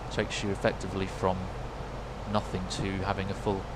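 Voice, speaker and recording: A man with a British accent amid noticeable background noise and audible room echo. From United Kingdom. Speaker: flight sim streamer and trained airline pilot. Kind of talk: casual live-stream commentary with radio calls.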